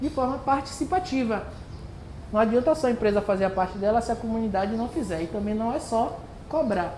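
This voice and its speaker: Room echo can be heard as the speaker goes at a moderate pace with ordinary pitch variation. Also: woman. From Bahia, Brazil (Santo Amaro, Recôncavo). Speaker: environmental educator, workshop presenter. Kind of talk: community workshop presentation.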